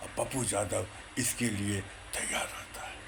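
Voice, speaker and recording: Noticeable background noise accompanies a man speaking in an animated tone. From India, Bihar, Purnia. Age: 60s. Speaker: retired Congress supporter. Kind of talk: political monologue. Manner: animated, repetitive.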